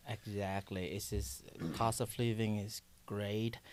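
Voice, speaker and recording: In a Vietnamese accent, a man speaks at a fairly slow pace with fairly low pitch and fairly even intonation. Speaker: coffee shop owner. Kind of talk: podcast interview. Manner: halting.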